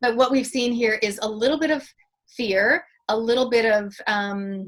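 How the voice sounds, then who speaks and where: A woman with a Canadian accent has a plain, everyday voice. Her pitch is fairly high and her intonation fairly even. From Canada. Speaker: public speaker and mentor. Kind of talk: interview.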